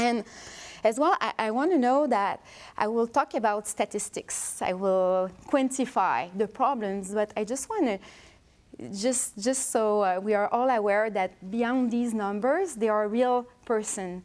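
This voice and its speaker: The speech comes in a strong French accent at a fairly slow pace. The recording is very clean, with a silent background. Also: woman, fairly high pitch for a woman, ordinary pitch variation. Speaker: researcher. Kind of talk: lecture. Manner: halting.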